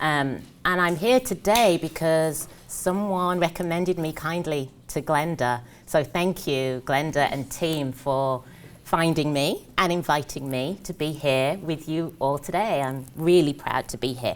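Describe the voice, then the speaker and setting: An English accent at a fairly slow pace, with ordinary pitch variation. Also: woman, very deep, low pitch for a woman. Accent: British (English). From English Midlands (Birmingham). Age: 30s. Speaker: career coach. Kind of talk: motivational talk. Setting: stage with audience.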